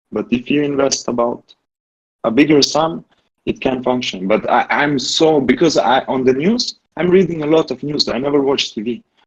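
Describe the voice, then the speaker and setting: This man speaks with a non-native accent at a moderate pace. His pitch is fairly high, with ordinary variation. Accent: non-native English, says his English is bad. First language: not English. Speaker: community member asking for advice. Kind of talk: casual group discussion. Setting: Discord voice call. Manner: halting, with many restarts and fillers.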